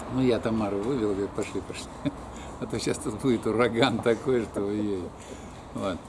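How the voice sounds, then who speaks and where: With noticeable background noise, a man speaks at a fairly low pitch with fairly even intonation and long, frequent pauses. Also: fairly quick pace. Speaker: alternative health practitioner and academic; interviewee. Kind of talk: life story interview; interview answer. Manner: halting, with many fillers. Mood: relaxed, reminiscing, sometimes smiling. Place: garden. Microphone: phone near.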